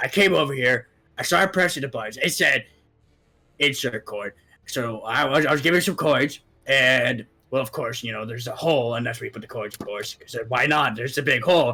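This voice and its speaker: A raspy, put-on character voice from a man, medium in pitch and fairly quick in pace. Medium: actual play. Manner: rambling, hesitant.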